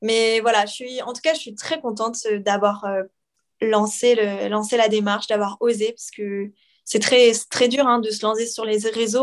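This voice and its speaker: A woman speaks in a plain, everyday voice with a fairly high pitch. Her pace is moderate and her pitch variation ordinary. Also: quiet background. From France and Quebec. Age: 20s. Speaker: PE teacher and content creator. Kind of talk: casual interview.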